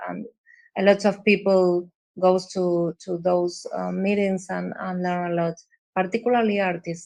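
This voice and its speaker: A woman's medium-pitched voice with an Argentine accent, fairly slow and flat in a monotone, over a quiet background. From Argentina. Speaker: visual artist. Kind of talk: interview. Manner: halting, many fillers and repeats.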